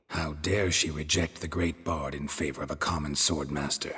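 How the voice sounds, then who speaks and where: A man in a put-on character voice, very deep and low in pitch, deadpan in tone, at a moderate pace. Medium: video game. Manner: terse, deadpan.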